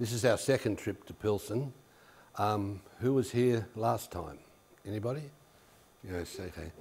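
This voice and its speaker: With an Australian accent, a man speaks in a somewhat breathy voice, broken by long, frequent pauses. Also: fairly low pitch for a man, ordinary pitch variation, fairly slow pace. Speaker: education specialist. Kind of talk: workshop presentation. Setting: workshop room with audience.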